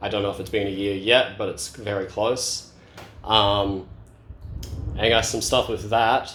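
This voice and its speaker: A man with an Australian accent talks at a moderate pace in a fairly low, flat, monotone voice. Audible room echo surrounds the recording. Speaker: speedcubing youtuber. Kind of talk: casual vlog update. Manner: casual, many fillers.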